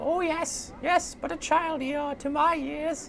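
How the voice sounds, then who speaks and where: A high-pitched, put-on character voice comes through clear background noise. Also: fairly slow pace. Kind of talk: archaic, quaint.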